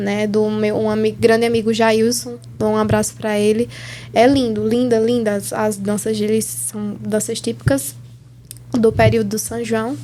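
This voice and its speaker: A woman talks at a fairly slow pace. Noticeable background noise is present. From Brazilian Northeast. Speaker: podcast host. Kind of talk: interview.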